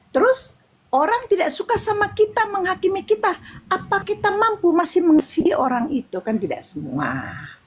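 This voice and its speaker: This is a woman's voice. She speaks at a fairly quick pace. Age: 60s. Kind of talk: interfaith discussion. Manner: halting.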